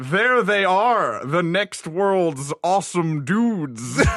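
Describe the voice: In a put-on character voice, a man speaks very slowly at a high pitch.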